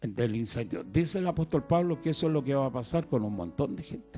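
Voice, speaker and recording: Very wide pitch swings mark a man's fairly high voice with a dark, mellow tone. The recording is very clean, with a silent background. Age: 70s. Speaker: itinerant preacher. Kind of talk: sermon.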